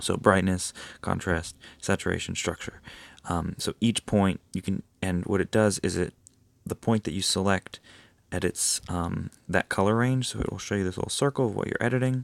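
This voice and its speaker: On a very clean recording with a silent background, a man speaks at a moderate pace, fairly low in pitch, with ordinary pitch variation. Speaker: photography tutorial creator. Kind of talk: screen-recorded tutorial. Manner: hesitant, many fillers.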